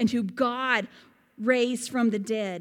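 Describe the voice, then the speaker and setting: Very slow, high-pitched woman's voice with a Southern US accent. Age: 40s. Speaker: pastor. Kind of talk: sermon. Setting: church.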